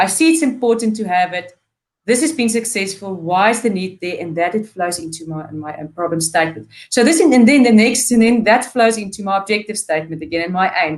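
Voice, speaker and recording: A woman talks at a fairly quick pace with lively intonation. Her loudness swings widely. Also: medium pitch for a woman. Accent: non-native. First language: not English. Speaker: PhD student. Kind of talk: webinar interview. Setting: live webinar.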